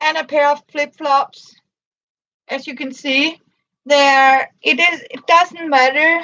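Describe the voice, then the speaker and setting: A woman's high-pitched, raised, projected voice at a very slow pace, with fairly even intonation and big swings in loudness. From Denmark. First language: Danish. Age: 50s. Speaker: crafts livestreamer. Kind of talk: casual livestream chat. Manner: halting.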